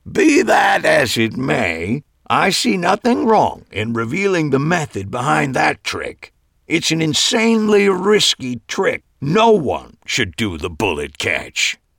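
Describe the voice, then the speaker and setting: Using a put-on character voice, a man talks at a fairly slow pace with fairly high pitch in a dry, close sound with no echo. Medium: read story. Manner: gruff, curt, contrary.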